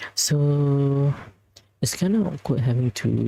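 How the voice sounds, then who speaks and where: Soft-spoken, the voice proceeds at a fairly slow pace. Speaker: gaming streamer. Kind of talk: casual livestream chat. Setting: livestream from bedroom. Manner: halting.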